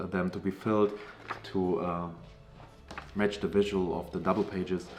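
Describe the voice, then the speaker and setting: This man talks at a moderate pace in a German accent. His pitch is fairly low and his intonation fairly even. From Germany. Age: 30s. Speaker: comic creator. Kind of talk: crowdfunding pitch. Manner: casual, with fillers.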